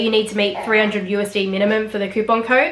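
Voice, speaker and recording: Noticeable background noise and audible room echo surround a woman with an Australian accent. She talks at a fairly quick pace and fairly high pitch. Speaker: fashion vlogger. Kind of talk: product review. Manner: fast.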